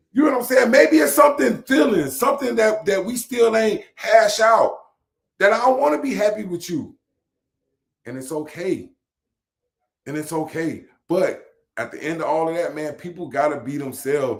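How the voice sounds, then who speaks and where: A man talks with a high-pitched voice and very wide swings in pitch. He leaves long, frequent pauses. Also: moderate pace, big swings in loudness. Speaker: podcast host. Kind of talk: casual chat.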